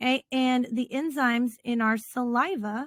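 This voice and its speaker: The voice is somewhat breathy, with fairly even intonation. The sound is dry and close, with no echo. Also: woman. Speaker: teacher. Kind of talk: lecture.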